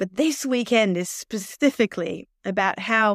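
A woman with an Australian accent speaks with ordinary pitch variation, on a very clean recording with a silent background and a dry, close sound with no echo. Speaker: occupational therapist and mission worker. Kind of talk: casual interview promoting an event.

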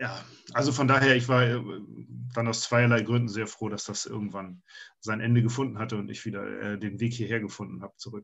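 A man speaks with fairly even intonation and vocal fry, leaving long, frequent pauses. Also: medium pitch for a man, fairly quick pace. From Hamburg, northern Germany. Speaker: fantasy author. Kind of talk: casual interview.

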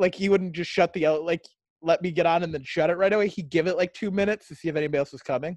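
A man's very fast, high-pitched voice, dry and close with no echo. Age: 30s. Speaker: podcast co-host and stand-up comedian. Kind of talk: casual chat.

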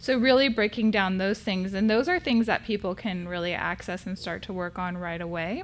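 A woman with an American accent and an ordinary speaking voice, medium in pitch with ordinary pitch variation, at a moderate pace with hardly any pauses. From California. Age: 40s. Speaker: therapist. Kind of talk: casual chat.

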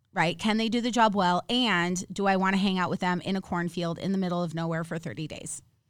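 On a very clean recording with a silent background, a woman with an American accent speaks at a very fast pace and medium pitch, with hardly any pauses and fairly even intonation. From Minnesota. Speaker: actor, film producer and author. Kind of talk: casual chat. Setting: studio.

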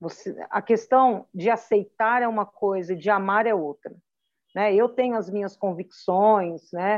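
A woman's ordinary speaking voice, fairly high in pitch, with ordinary pitch variation and a fairly slow pace. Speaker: pastor and mother. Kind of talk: interview testimony.

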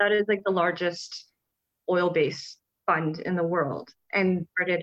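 A woman with a Canadian accent speaks fairly slowly in an ordinary speaking voice, medium in pitch with fairly even intonation. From Canada. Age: 30s. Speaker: conservationist and wildlife photographer. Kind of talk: casual interview conversation.

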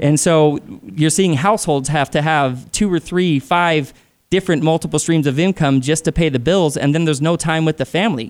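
On a very clean recording with a silent background, a man has an unremarkable speaking voice at a fairly high pitch. He talks fairly quickly with ordinary pitch variation. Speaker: dance instructor and motivational speaker. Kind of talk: interview.

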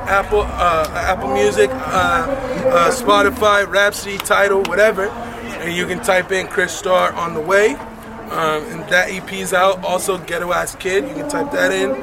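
Amid noticeable background noise and audible room echo, a man with an American accent projects a raised, high-pitched voice at a fairly slow pace, with ordinary pitch variation and hardly any pauses. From Oceanside, California. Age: 30s. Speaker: rapper and record label owner. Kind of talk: interview. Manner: casual, filler-heavy.

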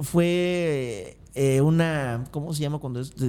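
A man speaks in a Mexican accent. His intonation is lively. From Mexico, Acapulco. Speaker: motivational speaker, former theme park employee. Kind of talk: interview conversation.

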